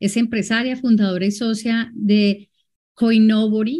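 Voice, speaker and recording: This woman's voice is dark and mellow in tone, somewhat breathy, with fairly even intonation. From Colombia. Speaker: moderator, IT executive. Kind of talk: moderating a webinar.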